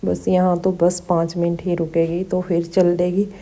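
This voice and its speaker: The speaker is a woman with a fairly low pitch. Her intonation is flat and monotone. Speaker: vlogger. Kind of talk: travel vlog narration. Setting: on a bus. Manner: casual.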